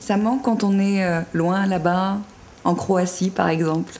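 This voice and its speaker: A woman speaks at a very slow pace with very even loudness. Her medium pitch holds a fairly even intonation. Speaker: TV voice-over commentator. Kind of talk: TV show host interview. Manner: casual, friendly.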